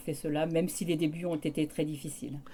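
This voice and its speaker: A woman speaks with a very deep, low pitch and a dark, mellow tone. Her pace is moderate and her intonation monotone and flat. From France, Creuse. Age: 60s. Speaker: removal company owner. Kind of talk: interview.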